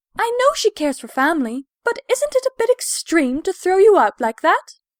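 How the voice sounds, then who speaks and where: Doing a put-on character voice, a woman speaks at a moderate pace at an extremely high pitch with very wide pitch swings. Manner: worried.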